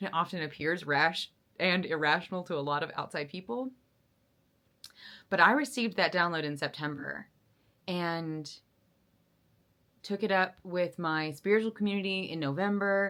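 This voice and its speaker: The speech is bright and sharp in tone, at a moderate pace with ordinary pitch variation. Long, frequent pauses come through in a very clean recording with a silent background. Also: woman, fairly low pitch for a woman. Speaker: vlogger. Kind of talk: casual monologue. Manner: animated.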